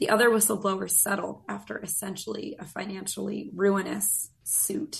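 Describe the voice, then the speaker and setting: A woman talks at a moderate pace with noticeable background noise around her. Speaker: government accountability advocate. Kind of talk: interview.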